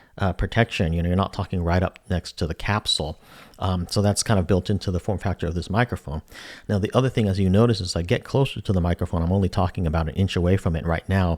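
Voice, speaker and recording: This man's pitch is very deep and low. He talks at a very fast pace with fairly even intonation. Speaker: tech product reviewer. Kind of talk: product review tutorial. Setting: home studio, close to the mic. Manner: casual, conversational with fillers.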